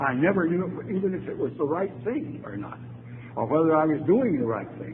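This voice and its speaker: Lively intonation and a moderate pace come through over noticeable background noise and audible room echo. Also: man. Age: 80s+. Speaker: AA speaker, retired lawyer. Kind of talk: recovery talk to audience.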